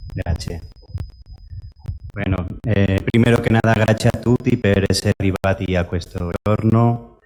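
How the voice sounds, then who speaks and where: A man with a fairly low voice talks with fairly even intonation and long, frequent pauses. Music plays in the background, and the sound is dry and close with no echo. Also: moderate pace. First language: Spanish. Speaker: invited speaker from a care organisation. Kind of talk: conference talk.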